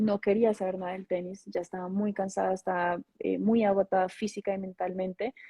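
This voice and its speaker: A woman speaks at a fairly quick pace with a Bogotá accent, her voice somewhat breathy. Her pitch is medium and her intonation monotone and flat. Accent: Bogotá Colombian Spanish. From Colombia, Bogotá. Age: 20s. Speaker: former tennis player, sports manager. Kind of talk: interview.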